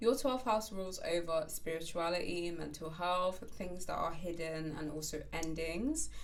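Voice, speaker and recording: A woman with a fairly low pitch and ordinary pitch variation talks at a moderate pace with hardly any pauses. Audible room echo surrounds her voice. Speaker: astrologer. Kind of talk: horoscope reading. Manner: conversational with fillers.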